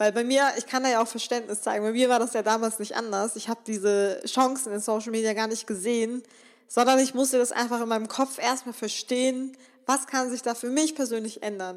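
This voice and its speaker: A woman speaks in a fairly high voice. Her pace is fairly quick. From western Germany (Remscheid). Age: 20s. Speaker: podcast host, self-employed social media entrepreneur. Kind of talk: solo motivational podcast talk. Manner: enthusiastic, animated.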